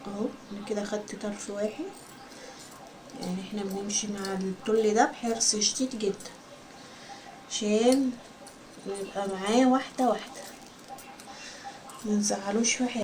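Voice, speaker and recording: Soft-spoken and with an Egyptian accent, a woman talks at a fairly slow pace in a fairly high pitch, with fairly even intonation, long, frequent pauses and noticeable background noise. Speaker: sewing instructor. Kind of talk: tutorial.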